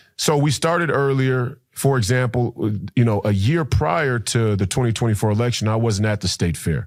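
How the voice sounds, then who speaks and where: A man with an American accent has an ordinary speaking voice at medium pitch with lively intonation, talking at a moderate pace with hardly any pauses. His loudness stays very even, and the recording is very clean, with a silent background. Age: 30s. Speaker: political candidate and former basketball player. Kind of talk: podcast interview. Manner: frequent repetitions and fillers.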